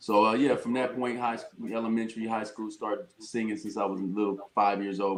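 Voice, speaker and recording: Noticeable background noise sits behind a man talking fairly quickly with fairly even intonation. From Chicago, US Midwest, via Ohio. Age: 50s. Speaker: R&B singer. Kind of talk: casual interview chat.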